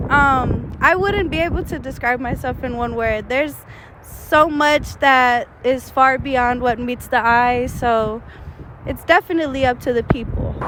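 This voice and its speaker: A woman speaks fairly slowly at a high pitch. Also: ordinary pitch variation. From Texas, Houston. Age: 20s. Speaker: rapper. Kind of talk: interview. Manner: casual, many fillers.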